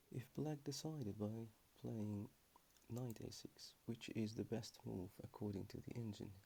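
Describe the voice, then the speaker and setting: A somewhat breathy man speaks at a fairly slow pace, his pitch varying in an ordinary way. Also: medium pitch for a man. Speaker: chess player. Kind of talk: ASMR chess lesson. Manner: calm, relaxed.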